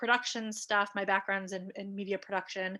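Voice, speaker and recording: In an American accent, a woman speaks with a bright, sharp tone on a very clean recording with a silent background. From US Midwest, Cleveland, Ohio. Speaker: rabbinic educator and advocate. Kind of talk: interview. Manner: hesitant, many fillers and repeats.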